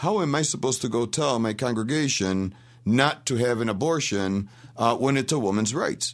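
A man speaks at a fairly quick pace. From Rochester, New York. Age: 50s. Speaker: radio host. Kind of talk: radio talk show. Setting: studio.

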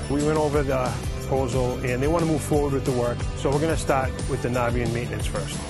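Clear music plays in the background. A man with a Boston accent talks at a very fast pace. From Boston area. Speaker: licensed plumber. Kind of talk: casual talk to camera. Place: street. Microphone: lapel.

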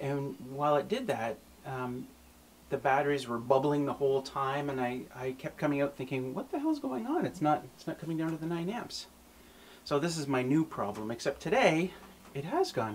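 A man speaks at a moderate pace, his pitch varying in an ordinary way, with light background noise present. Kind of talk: tutorial. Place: home room.

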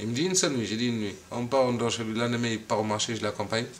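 Light background noise is audible. A man talks at a very fast pace. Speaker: interviewee. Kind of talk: interview answer. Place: home room.

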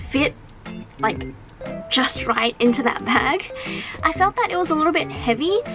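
Noticeable background noise sits behind a woman talking at a fairly slow pace. Her intonation is lively. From Australia. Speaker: voice actress. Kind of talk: casual talk to camera. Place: home room.

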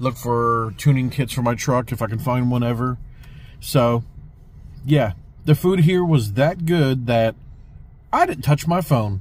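The speaker has an American accent and a somewhat breathy voice, with ordinary pitch variation. The pace is moderate, with long, frequent pauses, and the sound is dry with no echo. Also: man. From US South. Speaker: restaurant reviewer. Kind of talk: video review. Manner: animated. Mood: pleased, relaxed. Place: car. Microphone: phone near.

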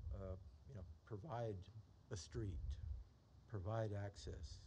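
A man talks at a fairly slow pace with ordinary pitch variation. His voice is somewhat breathy, with light background noise. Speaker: zoning board member. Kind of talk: public meeting discussion. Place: meeting room. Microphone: podium.

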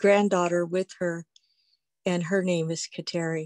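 A woman with an American accent speaks at a fairly low pitch, the sound dry with no echo and the background quiet. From Pawnee, Oklahoma; Oklahoma. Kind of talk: testimony. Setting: video call. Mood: warm, earnest, reflective. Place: home room. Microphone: video call.

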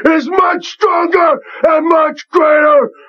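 A put-on character voice at a fairly slow pace. The tone is intense and dramatic. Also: man. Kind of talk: wrestling promo. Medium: stage. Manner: intense, dramatic, menacing.

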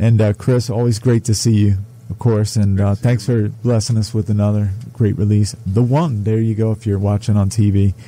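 A man with a dark, mellow, somewhat breathy tone speaks at a moderate pace and medium pitch, his intonation fairly even. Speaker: radio host. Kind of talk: casual interview. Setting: studio.

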